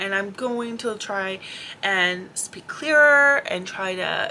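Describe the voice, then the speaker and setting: Mumbling at a very slow pace, a woman speaks at a medium pitch with lively intonation. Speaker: vlogger. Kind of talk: casual vlog monologue.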